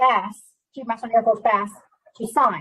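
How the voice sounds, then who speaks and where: A woman speaks at a fairly high pitch. Her intonation stays fairly even. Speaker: Air Force civilian employee, panelist. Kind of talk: panel discussion. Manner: loud.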